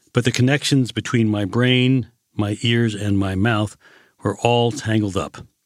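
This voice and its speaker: A man with an American accent and an unremarkable speaking voice, medium in pitch, speaks at a fairly slow pace with very even loudness on a very clean recording with a silent background. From United States. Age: 60s. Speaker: former ambassador. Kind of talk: personal radio monologue.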